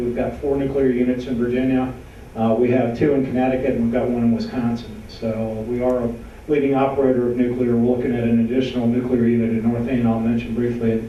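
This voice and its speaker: Through noticeable background noise and audible room echo, a man talks at a fairly quick pace and medium pitch with monotone, flat intonation. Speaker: utility policy director. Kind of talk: panel presentation. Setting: panel event with audience.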